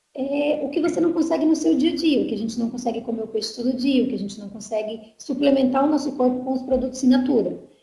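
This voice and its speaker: In audible room echo, a woman with a high pitch and a dark, mellow tone speaks at a very fast pace with ordinary pitch variation. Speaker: marketing staff presenting products. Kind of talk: online sales presentation. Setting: online webinar.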